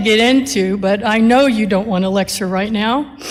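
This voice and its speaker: A woman talks at a moderate pace in a plain, everyday voice. Her pitch is fairly high, with ordinary variation. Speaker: attorney and nonprofit CEO. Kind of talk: commencement speech.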